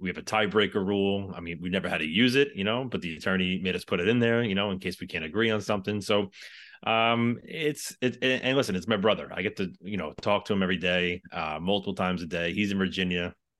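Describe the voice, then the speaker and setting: A man with a New York accent, fairly low pitch and ordinary pitch variation, talking at a very fast pace with hardly any pauses over a quiet background. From New York City. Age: 40s. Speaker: firefighter and real estate investor. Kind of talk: interview.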